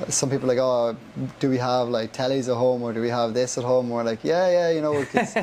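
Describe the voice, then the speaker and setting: With an Irish accent, a man talks at a very fast pace. His pitch is medium, with ordinary variation. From Ireland, County Monaghan. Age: 20s. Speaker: young traveller back from a US work visa. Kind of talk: podcast interview. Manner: casual, many fillers like 'like'.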